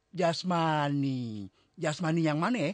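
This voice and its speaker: A man's put-on character voice, rumbling yet fairly high-pitched, with lively intonation at a fairly slow pace, in a dry, close sound with no echo. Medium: audio drama. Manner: grumbling, haggling.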